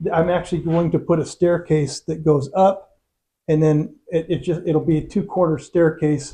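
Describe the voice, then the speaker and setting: With an Upper Peninsula Michigan accent, a man speaks at a moderate pace in a fairly high pitch, his tone dark and mellow and his intonation fairly even. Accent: Upper Midwest (Yooper). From Michigan's Upper Peninsula. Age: 60s. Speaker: cabin owner, YouTuber. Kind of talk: casual chat, property tour. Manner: halting, repeats words.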